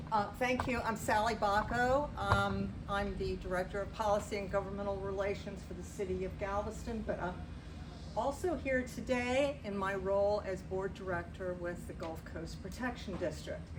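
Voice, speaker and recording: Female speech carrying audible room echo, noticeable background noise behind it. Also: moderate pace. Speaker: city policy director. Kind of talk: public briefing. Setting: community association meeting. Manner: loud. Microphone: speaking without a microphone.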